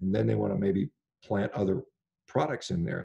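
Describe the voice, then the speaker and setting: A man speaks at a fairly low pitch in a dark, mellow, somewhat breathy voice. The background is quiet. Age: 50s. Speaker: physician and carnivore diet advocate; podcast guest. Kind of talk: interview conversation. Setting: remote call. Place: home room. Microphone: video call.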